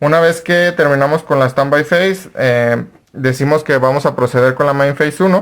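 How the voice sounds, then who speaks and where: An unremarkable speaking voice from a man, fairly high in pitch, at a moderate pace with fairly even intonation and very even loudness, in a very clean recording with a silent background. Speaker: card game content creator. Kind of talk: tutorial.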